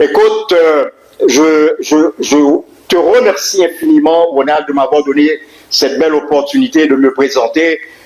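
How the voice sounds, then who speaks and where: Over noticeable background noise, a man talks at a fairly slow pace with very even loudness and long, frequent pauses. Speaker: teacher. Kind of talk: public speech. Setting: community event hall with audience. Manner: halting.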